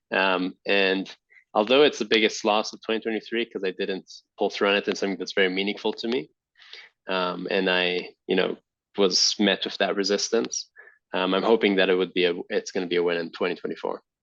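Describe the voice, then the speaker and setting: Fairly quick speech from a man at a fairly low pitch, fairly even in intonation, over a quiet background. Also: dry, close sound with no echo. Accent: Israeli. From Israel. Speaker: entrepreneur and army veteran. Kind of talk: podcast interview. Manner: halting, many fillers.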